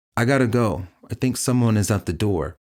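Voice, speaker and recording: Putting on a character voice, a man speaks with a raspy sound at medium pitch, lively intonation and a fairly quick pace. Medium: audio drama.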